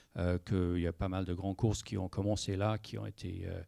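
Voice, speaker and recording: On a very clean recording with a silent background, a man speaks in a very deep, low, dark and mellow voice with an English accent at a moderate pace. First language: English (speaking French). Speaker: sailing project manager. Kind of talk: panel discussion. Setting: conference with audience. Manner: halting, many hesitations.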